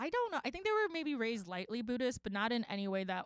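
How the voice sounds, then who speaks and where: With a New York accent, a woman talks at a very fast pace in a fairly high voice with lively intonation. The sound is dry and close, with no echo. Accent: New York American. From Queens, New York. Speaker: podcast guest. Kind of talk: casual chat.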